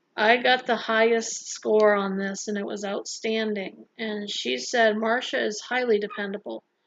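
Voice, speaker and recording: A soft-spoken woman at a fairly slow pace, fairly high-pitched, with ordinary pitch variation. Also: hardly any pauses. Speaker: vlogger and health center worker. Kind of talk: casual vlog talk.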